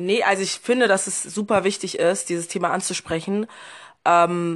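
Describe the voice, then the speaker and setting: In an unremarkable speaking voice, a woman of medium pitch talks at a moderate pace with fairly even intonation over a quiet background. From Berlin, Germany. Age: 20s. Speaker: podcast guest. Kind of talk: casual chat.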